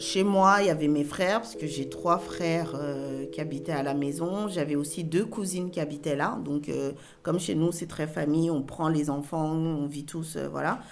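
There is audible room echo around a woman whose voice is very deep and low. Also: ordinary pitch variation, moderate pace, hardly any pauses. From Cameroon, moved to France at 8. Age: 40s. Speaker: interviewee telling her life story. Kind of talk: personal testimony interview.

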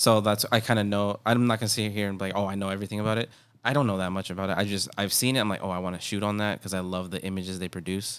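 In a very clean recording with a silent background, the speaker rushes at a very fast pace with hardly any pauses and a monotone, flat intonation. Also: man, fairly low pitch for a man. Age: 30s. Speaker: podcast host. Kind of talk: casual chat.

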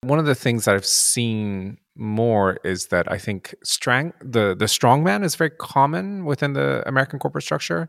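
With hardly any pauses, a man talks at a moderate pace in a medium pitch with very wide pitch swings, on a very clean recording with a silent background and a dry, close sound with no echo. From Japan. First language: Japanese. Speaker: podcast host. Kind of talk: casual interview.

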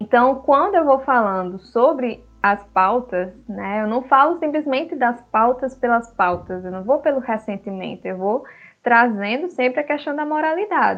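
This woman has a high voice and lively intonation. She talks fairly slowly, with hardly any pauses. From Guinea-Bissau until age 7, then Brazil. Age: 20s. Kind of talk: casual discussion.

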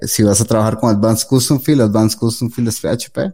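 The speaker is a man with a dark, mellow tone. His pitch varies in an ordinary way. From Costa Rica. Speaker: web developer. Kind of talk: interview.

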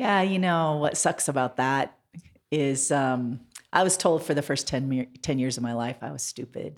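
On a very clean recording with a silent background, a woman with an American accent speaks at a very deep, low pitch with ordinary pitch variation. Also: moderate pace. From Montana. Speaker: mayoral candidate. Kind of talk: interview.

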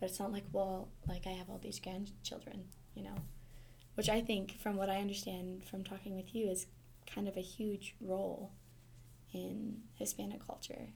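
Audible room echo surrounds this voice. A woman with an American accent talks at a moderate pace. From Montana. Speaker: podcast host, university staff. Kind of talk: casual interview.

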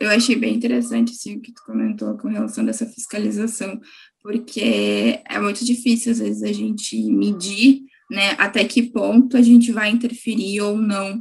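Big swings in loudness mark this speech, which keeps a moderate pace. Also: woman. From Gravataí, Porto Alegre metro area, Brazil. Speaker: student journalist, podcast host. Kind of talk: interview.

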